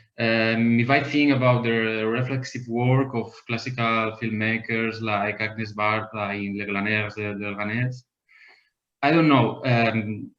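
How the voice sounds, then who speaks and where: Fairly even in intonation, a man with a medium-pitched voice speaks at a fairly slow pace. He has a non-native accent. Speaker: audience member asking a question. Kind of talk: audience question. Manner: halting.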